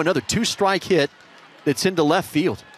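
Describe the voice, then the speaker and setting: Noticeable background noise accompanies a man who talks fairly quickly. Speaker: sports commentator. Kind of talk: live baseball play-by-play commentary.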